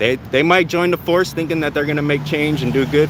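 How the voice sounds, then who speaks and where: Noticeable background noise fills the recording. Through it, a man talks at a fairly high pitch. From San Diego, California. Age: 40s. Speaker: copwatch videographer. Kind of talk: street conversation. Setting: outdoors on the street.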